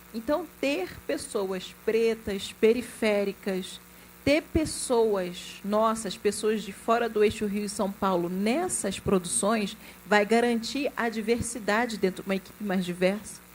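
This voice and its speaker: The voice is somewhat breathy and has ordinary pitch variation. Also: woman, fairly high pitch for a woman. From Rio de Janeiro state, Brazil (Duque de Caxias). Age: 40s. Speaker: film executive producer. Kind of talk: panel discussion.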